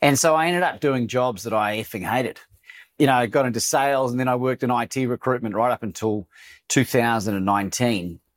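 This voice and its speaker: The speaker is a man with a medium pitch. He talks very fast. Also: ordinary pitch variation. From New Zealand, Christchurch. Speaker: motivational speaker and coach. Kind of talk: interview conversation. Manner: animated.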